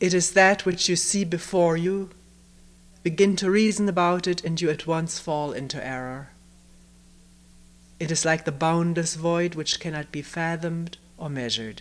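A woman's fairly low voice at a moderate pace, with long, frequent pauses. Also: ordinary pitch variation. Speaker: meditation retreat teacher. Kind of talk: reading a text aloud in a talk. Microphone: old recording.

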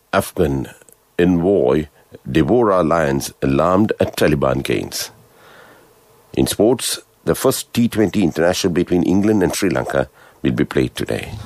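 A man with a very deep, low voice speaks with lively intonation and long, frequent pauses, in a dry sound with no echo against a quiet background. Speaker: radio newsreader. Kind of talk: news reading. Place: studio.

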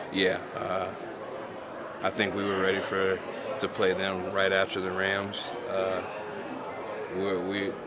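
Very slow male speech under loud background noise. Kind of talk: interview answer.

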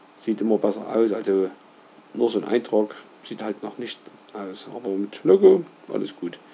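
A man of medium pitch talks at a fairly slow pace with ordinary pitch variation. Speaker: roofer, company owner. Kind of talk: screen-recorded website tutorial. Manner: casual, hesitant, with filler sounds.

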